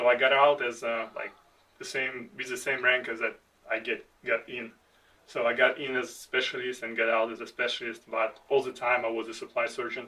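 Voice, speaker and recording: A man with a non-native accent, medium pitch, and bright, sharp tone, flat and monotone at a fairly quick pace. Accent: foreign. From outside the United States. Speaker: army veteran, podcast co-host. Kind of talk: casual chat. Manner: halting.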